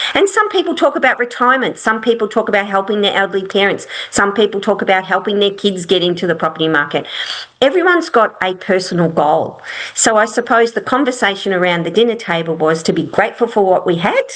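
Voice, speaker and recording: Through noticeable background noise, a medium-pitched woman talks at a very fast pace with lively intonation. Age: 60s. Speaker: property investment strategist. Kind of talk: interview. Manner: halting.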